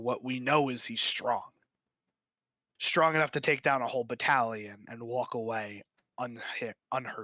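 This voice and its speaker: Using a raspy, put-on character voice at a medium pitch, a man speaks at a moderate pace with fairly even intonation and long, frequent pauses. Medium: actual play. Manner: blunt, curt.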